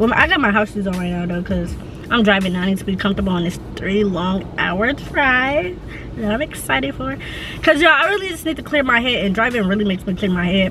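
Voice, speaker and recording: A woman talks very fast with lively intonation. The sound is dry with no echo, over light background noise. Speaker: vlogger. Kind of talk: casual vlog chat. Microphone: phone near.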